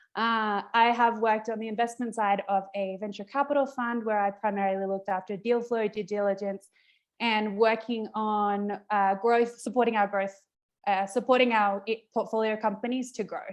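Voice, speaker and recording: This woman has a fairly high pitch and an Australian accent. She keeps a moderate pace with fairly even intonation. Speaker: event host. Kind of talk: virtual event introduction. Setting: video call.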